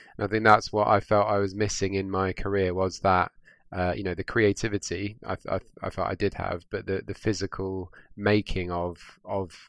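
Recorded very cleanly against a silent background, a man with a southern English accent speaks at a fairly low pitch with monotone, flat intonation. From southwest London, England. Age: young. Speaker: garden designer. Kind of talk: interview. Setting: studio.

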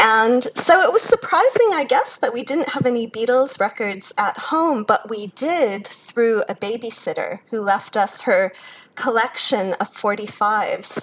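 The delivery moves at a fairly slow pace with hardly any pauses and lively intonation. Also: woman, high pitch for a woman. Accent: Chicago. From US Midwest, Chicago. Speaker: academic, author. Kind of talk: interview.

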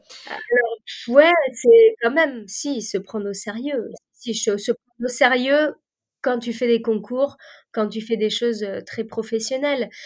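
A woman speaks at a very slow pace in a high voice, with ordinary pitch variation. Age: 30s. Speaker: chef. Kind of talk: casual chat.

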